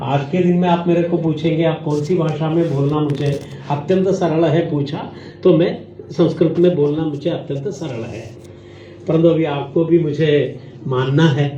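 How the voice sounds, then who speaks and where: Over noticeable background noise and audible room echo, a man speaks in a fairly high pitch with fairly even intonation. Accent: Malayali. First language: Malayalam (speaking Hindi). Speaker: professor. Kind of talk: lecture. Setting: stage with student audience.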